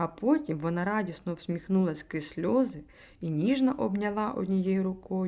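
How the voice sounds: Someone reads in a natural reading voice, the intonation lively throughout.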